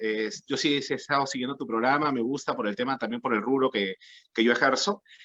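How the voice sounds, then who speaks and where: In a Peruvian accent, a man talks at a fairly quick pace with a bright, sharp tone. His medium pitch has ordinary variation. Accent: Peruvian Spanish (Lima). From Peru, Lima. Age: 30s. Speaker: political candidate. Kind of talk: political debate. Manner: halting.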